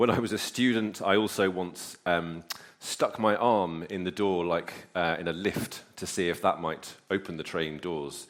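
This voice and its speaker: A man's very deep, low voice with fairly even intonation, on a very clean recording with a silent background. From Northern Ireland. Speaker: preacher. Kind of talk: sermon. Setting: church. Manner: hesitant with frequent fillers.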